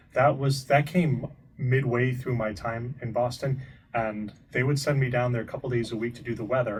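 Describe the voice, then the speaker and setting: At a moderate pace, a man with a somewhat breathy voice speaks in a medium pitch with fairly even intonation. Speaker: TV meteorologist. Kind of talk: interview.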